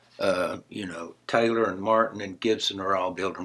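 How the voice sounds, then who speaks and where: This man talks at a fairly quick clip with an Appalachian accent, his tone bright and sharp and his intonation fairly even. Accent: Appalachian Southern US. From western North Carolina. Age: 70s. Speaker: songwriter and guitarist. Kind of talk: interview. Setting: guitar store.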